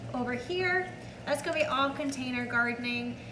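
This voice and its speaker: A raised, projected voice carries over noticeable background noise, with audible room echo. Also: woman. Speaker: home gardening vlogger. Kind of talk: casual vlog tutorial.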